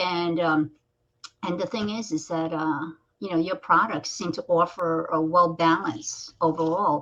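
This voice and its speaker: Fairly slow and fairly even in intonation, a woman talks in a normal speaking voice with a fairly low pitch. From United States (born in Korea). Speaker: talk show host. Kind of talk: casual interview chat.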